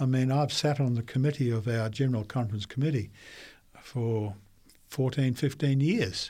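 Speaking with an Australian accent, a man uses a fairly high pitch and ordinary pitch variation at a moderate pace. The recording is very clean, with a silent background. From Queensland, Australia (Brisbane). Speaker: pastor. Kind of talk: interview.

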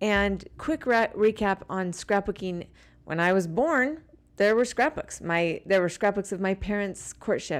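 Speaking at a fairly slow pace with lively intonation and an American accent, this is an unremarkable speaking voice on a very clean recording with a silent background. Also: woman, medium pitch for a woman. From Utah. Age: 40s. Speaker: scrapbooking product designer. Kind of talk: casual chat. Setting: hotel room.

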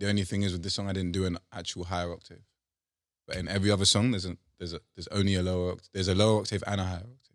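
Talking very fast with a London accent, this man has a very deep, low voice and a flat, monotone delivery. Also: very clean recording, silent background. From London, England; African heritage, raised in UK. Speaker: musician. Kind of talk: casual interview chat. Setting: studio.

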